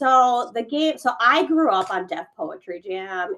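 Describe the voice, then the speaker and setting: A woman with a non-native accent speaks with lively intonation. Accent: immigrant. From born abroad, immigrant to the US. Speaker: poet and playwright. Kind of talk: casual chat. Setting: livestream.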